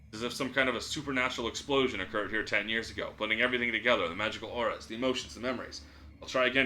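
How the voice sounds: A natural reading voice keeps to fairly even intonation.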